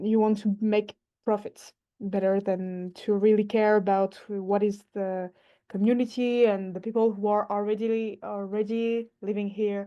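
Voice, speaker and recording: The speaker has a non-native accent and talks at a fairly slow pace. The intonation is monotone and flat. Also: woman, medium pitch for a woman. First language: not English. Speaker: workshop participant working in urban planning. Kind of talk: online workshop discussion. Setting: video call. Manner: halting, many hesitations.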